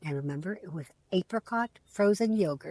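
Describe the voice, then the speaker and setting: Somewhat breathy, a woman with an American accent speaks with lively intonation. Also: dry, close sound with no echo. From United States. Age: 70s. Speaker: vlogger. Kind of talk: personal storytelling vlog.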